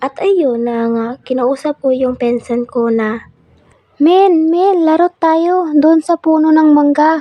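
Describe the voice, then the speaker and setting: A woman with a high pitch and ordinary pitch variation speaks at a very slow pace. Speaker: amateur animator and narrator. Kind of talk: personal horror story narration with acted dialogue. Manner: inexperienced, amateur narration.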